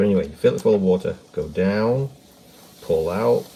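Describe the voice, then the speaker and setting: There is noticeable background noise as a man speaks in a relaxed tone. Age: 60s. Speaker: potter. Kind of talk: tutorial. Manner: casual, relaxed.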